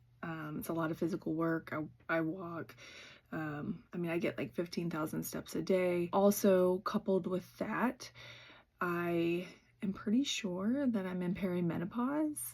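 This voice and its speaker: An ordinary speaking voice moves at a fairly slow pace with ordinary pitch variation on a very clean recording with a silent background. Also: woman, fairly low pitch for a woman. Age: 40s. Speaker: YouTuber, former reseller. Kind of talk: casual vlog chat. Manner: conversational with frequent fillers.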